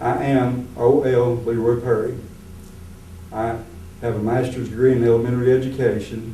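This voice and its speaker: With an American accent, a man speaks at a medium pitch and a moderate pace, using monotone, flat intonation and long, frequent pauses. Noticeable background noise and audible room echo fill the recording. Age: 60s. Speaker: retired teacher, political candidate. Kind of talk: candidate interview.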